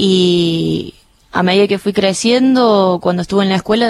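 Using a Cordoban accent, a woman speaks at a moderate pace with a medium pitch and fairly even intonation. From Argentina, Córdoba city. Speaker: air force helicopter pilot. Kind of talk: radio interview. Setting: studio.

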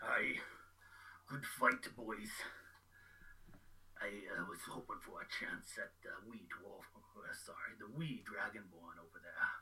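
A man puts on a character voice at a fairly slow pace. He leaves long, frequent pauses. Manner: gruff, friendly, bold.

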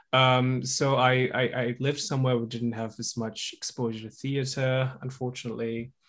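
Monotone, flat intonation at a moderate pace. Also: man, medium pitch for a man. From Indonesia (Java). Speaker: musician. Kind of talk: casual chat. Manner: halting, many fillers.

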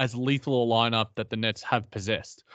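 Dry and close with no echo, a man with an Australian accent speaks at a moderate pace. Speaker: basketball podcast co-host. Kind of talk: casual chat.

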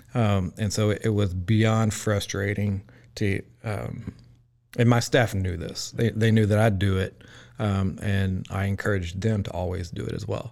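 Someone with a Central Texas accent speaks at a fairly slow pace with fairly even intonation, on a very clean recording with a silent background. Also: man, fairly low pitch for a man. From Texas, Groesbeck. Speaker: restaurant owner. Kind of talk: casual interview.

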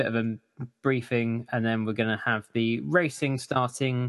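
In a normal speaking voice, a man speaks at medium pitch with fairly even intonation. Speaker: event organiser and podcast co-host. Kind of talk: casual chat about drone hobby.

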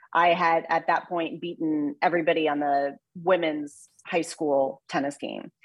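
A woman speaks in a normal speaking voice with an American accent, fairly low in pitch and at a moderate pace. The background is quiet. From US Midwest (Mexico, Missouri). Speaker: sports broadcaster and former tennis player. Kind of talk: interview.

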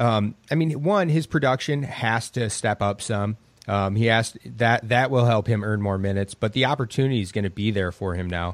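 At a fairly quick pace with hardly any pauses, a man in a plain, everyday voice talks at medium pitch with ordinary pitch variation, on a very clean recording with a silent background. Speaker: fantasy basketball analyst. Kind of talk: casual sports talk.

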